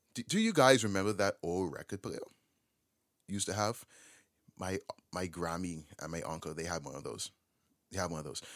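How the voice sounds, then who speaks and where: Despite long, frequent pauses, a man with a very deep, low pitch talks at a fairly quick pace in an animated tone, with a dry, close sound and no echo. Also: ordinary pitch variation. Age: 20s. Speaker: podcast host. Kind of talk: solo podcast monologue.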